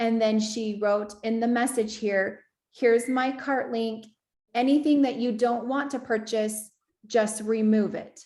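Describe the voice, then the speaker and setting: A woman with an ordinary speaking voice and a fairly high pitch talks at a moderate pace, her intonation fairly even. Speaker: business assistant giving software training. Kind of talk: online training walkthrough.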